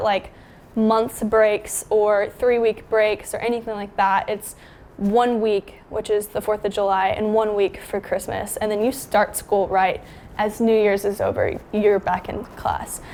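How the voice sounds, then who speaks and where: Her voice fairly high, a woman speaks at a fairly slow pace in a monotone, flat intonation. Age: 20s. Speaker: freelance photographer and cinematographer. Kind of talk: casual talk to camera.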